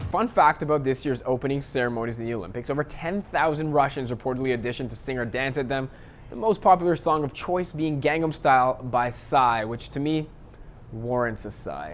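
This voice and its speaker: Talking at a fairly quick pace, a man with an ordinary speaking voice keeps a medium pitch and ordinary pitch variation. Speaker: sports anchor. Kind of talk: sports news anchor demo reel, scripted TV delivery. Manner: upbeat, punny, polished.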